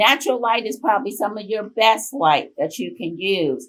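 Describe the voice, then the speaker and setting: Here is a woman with a plain, everyday voice at a medium pitch. She talks at a moderate pace with lively intonation. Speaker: volunteer group leader presenting on caregiving. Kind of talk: conference presentation.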